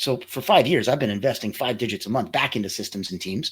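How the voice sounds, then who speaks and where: Delivered at a very fast pace, the speech comes on a very clean recording with a silent background. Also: man. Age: 50s. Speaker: agency founder and coach. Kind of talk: interview.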